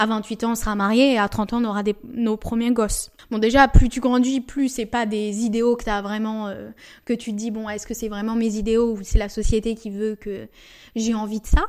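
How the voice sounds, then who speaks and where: A woman talks at a moderate pace with a fairly high pitch and monotone, flat intonation. Her loudness swings widely from moment to moment. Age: 20s. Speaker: podcast host and entrepreneur. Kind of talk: casual monologue. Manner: chatty.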